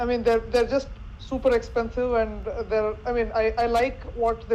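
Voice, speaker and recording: A woman with a Telugu accent speaks at a moderate pace. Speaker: NLP expert panelist. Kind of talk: panel discussion. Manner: halting, with frequent repetitions.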